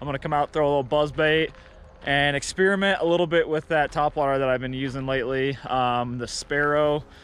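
A man talks at a fairly quick pace with fairly even intonation, and the sound is dry with no echo. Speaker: fishing vlogger. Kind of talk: casual vlog chat. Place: open country. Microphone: phone near.

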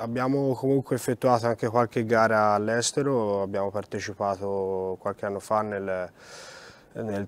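This man has an ordinary speaking voice, fairly low in pitch, with ordinary pitch variation, a moderate pace and a dry sound with no echo. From Italy, Florence; Italy. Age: 20s. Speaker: rally driver. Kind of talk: interview. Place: hall.

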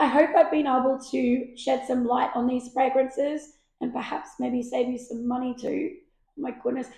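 A put-on character voice, husky, hoarse and raspy, speaks at a moderate pace with audible echo. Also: woman. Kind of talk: casual vlog chat. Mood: light, playful.

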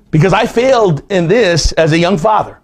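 A man talks at a moderate pace in a high pitch, his tone slightly mellow. His intonation is lively.

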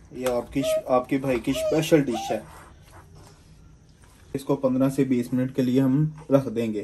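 A man talks in a dark, mellow tone at a moderate pace.

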